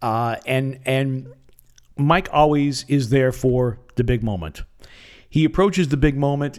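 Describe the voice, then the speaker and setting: An unremarkable speaking voice with an American accent, a fairly slow pace and ordinary pitch variation, on a very clean recording with a silent background. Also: man. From US Midwest, northeastern Wisconsin. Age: 50s. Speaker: sports play-by-play commentator and podcast host. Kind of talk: solo podcast monologue, sports analysis.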